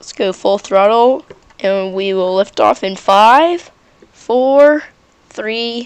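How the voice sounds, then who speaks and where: A woman talks very slowly with ordinary pitch variation against noticeable background noise. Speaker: gaming YouTuber. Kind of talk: gameplay commentary. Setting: home bedroom. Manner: casual, hesitant with fillers.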